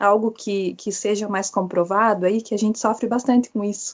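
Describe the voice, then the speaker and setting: The speaker talks in a Paraná accent. The pace is moderate. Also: woman. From Paraná, southern Brazil. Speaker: pharmacist asking a question. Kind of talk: audience question.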